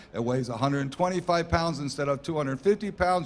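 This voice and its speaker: A man's fairly high-pitched voice with ordinary pitch variation, a normal speaking voice. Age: 60s. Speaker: company founder and executive. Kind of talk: interview at trade show.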